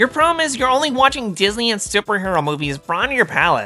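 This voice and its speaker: Over faint music in the background, a man in a put-on character voice projects loudly at a high pitch and a very fast pace. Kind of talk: nerdy. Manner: mocking.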